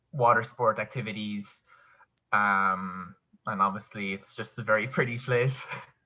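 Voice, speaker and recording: In a Kerry accent, a man speaks at a moderate pace with a fairly low, bright and sharp voice and fairly even intonation. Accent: Kerry Irish. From Ireland, County Kerry. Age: 20s. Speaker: online English teacher. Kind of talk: casual interview chat.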